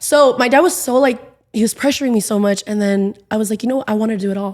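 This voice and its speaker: A woman in a Southern California accent, very fast and animated, with fairly high pitch and ordinary pitch variation. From Inland Empire, Southern California. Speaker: TV host and entertainer. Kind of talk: podcast interview.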